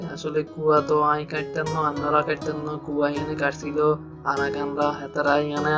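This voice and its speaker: Over music in the background, a man talks in a fairly high voice for a man. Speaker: travel vlogger. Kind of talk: casual talk to camera. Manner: playful, joking.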